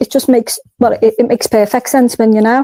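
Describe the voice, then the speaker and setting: A dark, mellow voice moves at a fairly quick pace in a dry, close sound with no echo. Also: woman. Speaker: caller on live stream. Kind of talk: call-in discussion. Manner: fast.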